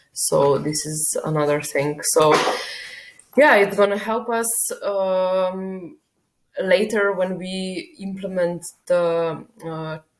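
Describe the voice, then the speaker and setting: A woman with a non-native accent talks very slowly at a medium pitch, with ordinary pitch variation and long, frequent pauses. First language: not English. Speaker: software developer. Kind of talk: work log video update. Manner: hesitant, many fillers.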